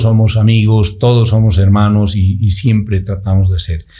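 A man speaks at a moderate pace in a somewhat breathy voice with a dark, mellow tone. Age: 50s. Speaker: orthodontist and amateur cyclist. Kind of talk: casual interview. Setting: studio.

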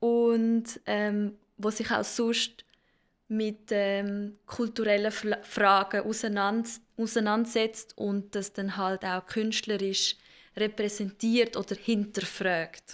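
Very slow and monotone, with flat intonation, a woman speaks in a fairly high pitch. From Zurich, Switzerland. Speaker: dancer and choreographer. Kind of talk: casual interview. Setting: studio.

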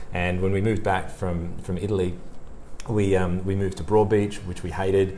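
A man speaks with an Australian accent, his very deep, low voice dark and mellow in tone. His intonation is monotone and flat at a moderate pace, with audible room echo. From Australia, Sydney. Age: 40s. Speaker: sales leader and interview coach. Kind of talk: casual interview chat.

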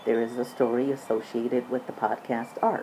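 A woman's voice over noticeable background noise. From US, military family moving around. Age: 60s. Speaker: podcast host. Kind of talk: personal monologue.

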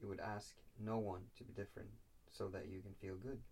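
A man talks with vocal fry. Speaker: co-host or friend of the host. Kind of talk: casual chat.

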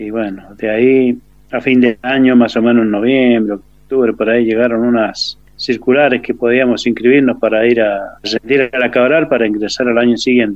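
A man with a medium pitch talks at a moderate pace with hardly any pauses, his intonation monotone and flat. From Argentina, San Rafael, Mendoza. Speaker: war veteran. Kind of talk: testimony. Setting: phone call.

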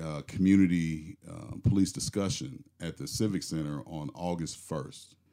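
A fairly slow delivery in a dark, mellow tone with ordinary pitch variation, on a very clean recording with a silent background. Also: man. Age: 40s. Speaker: police officer. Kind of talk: casual chat. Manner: halting.

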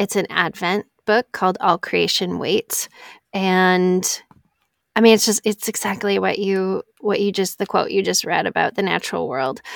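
A woman speaks at a medium pitch with an American accent, in an ordinary speaking voice and fairly even intonation. The recording is very clean with a silent background, and the sound is dry and close with no echo. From northern Wisconsin, US Midwest. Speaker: podcast editor. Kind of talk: casual chat.

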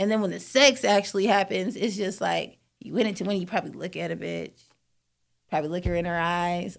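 On a very clean recording with a silent background, a woman talks at a fairly quick pace in a medium pitch with vocal fry and ordinary pitch variation. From US, San Diego and Atlanta. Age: 30s. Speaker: radio station worker. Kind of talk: casual chat.

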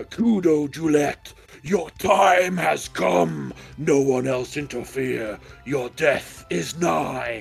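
Putting on a character voice, a man talks at a very slow pace and a fairly high pitch, with faint music in the background. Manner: ominous, threatening.

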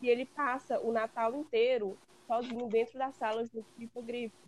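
High pitch from a woman, delivered in monotone, flat intonation. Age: 20s. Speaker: guest fan. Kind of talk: casual chat.

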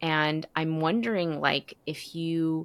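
Recorded very cleanly against a silent background, with a dry, close sound and no echo, a woman has an ordinary speaking voice, talking fairly slowly at a fairly low pitch. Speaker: podcast host. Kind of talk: interview conversation, scripted intro.

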